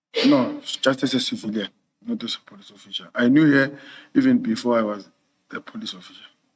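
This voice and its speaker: Quiet and with big swings in loudness, a man talks at a very fast pace broken by long, frequent pauses. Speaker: police officer, witness. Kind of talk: witness testimony. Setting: hearing room with microphones. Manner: quiet, hard to hear; hesitant. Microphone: too far from mic, too quiet.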